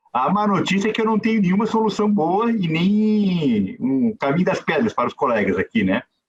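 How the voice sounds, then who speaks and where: In a Florianópolis accent, a man with a high pitch and ordinary pitch variation speaks at a moderate pace with very even loudness and hardly any pauses. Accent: Florianópolis (manezinho). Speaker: judge. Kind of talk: conference talk. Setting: video call. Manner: informal, conversational.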